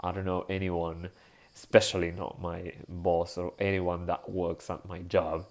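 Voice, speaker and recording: A man's very deep, low voice in a Spanish accent, monotone and flat at a fairly slow pace, with big swings in loudness on a very clean recording with a silent background. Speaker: vlogger. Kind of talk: casual monologue vlog. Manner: halting, with fillers and self-corrections.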